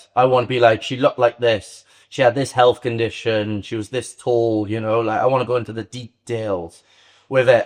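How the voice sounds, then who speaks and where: A man with a Welsh accent speaks at medium pitch and a fairly quick pace, the sound dry and close with no echo. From Wales. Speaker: Muay Thai fighter and online psychic medium. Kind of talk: podcast interview.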